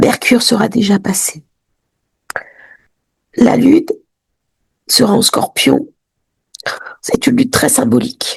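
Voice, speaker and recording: A high-pitched woman speaks at a very slow pace with long, frequent pauses. Her loudness stays very even. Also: ordinary pitch variation. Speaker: astrologer. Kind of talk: weekly horoscope talk to camera.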